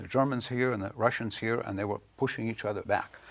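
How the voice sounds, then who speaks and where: A Lithuanian accent with ordinary pitch variation, in a very clean recording with a silent background. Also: man. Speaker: author. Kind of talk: interview. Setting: studio. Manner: hesitant, with fillers.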